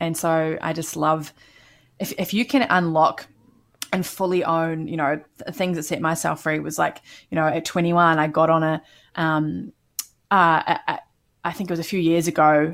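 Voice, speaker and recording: In a very clean recording with a silent background, a woman with a slight New Zealand accent talks at a moderate pace and fairly low pitch, keeping fairly even intonation and leaving long, frequent pauses. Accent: mild New Zealand. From New Zealand, Canterbury. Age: 30s. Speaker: business coach. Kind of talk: casual interview.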